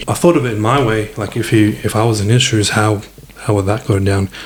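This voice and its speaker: A man's very fast, monotone, flat delivery amid noticeable background noise. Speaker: former homophobe sharing his story. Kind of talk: interview testimony. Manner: halting, many repetitions.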